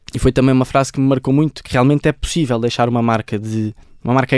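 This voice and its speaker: Recorded very cleanly against a silent background, with a dry, close sound and no echo, a man with a European Portuguese accent speaks at a fairly quick pace with fairly even intonation. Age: 20s. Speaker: football coach and author. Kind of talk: interview. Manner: halting, frequent repetitions.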